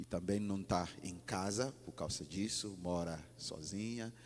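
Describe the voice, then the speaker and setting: A man with a slight non-native accent talks with ordinary pitch variation. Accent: slight foreign accent in Portuguese. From Ghana. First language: English (speaking Portuguese). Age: 40s. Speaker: pastor. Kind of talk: sermon. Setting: church. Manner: halting.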